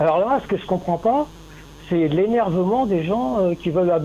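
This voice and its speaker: Speaking with ordinary pitch variation, a man has a high voice. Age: 70s. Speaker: caller. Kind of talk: phone call, debate. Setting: phone call.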